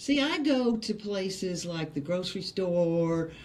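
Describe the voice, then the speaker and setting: In a room with audible echo, a woman speaks at a fairly slow pace with a Texas accent. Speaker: stand-up comedian and acting coach. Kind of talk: casual chat. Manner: halting, with repetitions.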